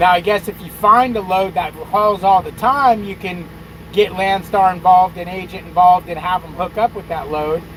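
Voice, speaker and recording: A man's high-pitched voice at a moderate pace, fairly even intonation, big swings in loudness, noticeable background noise. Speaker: truck driver youtuber. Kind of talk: casual livestream chat.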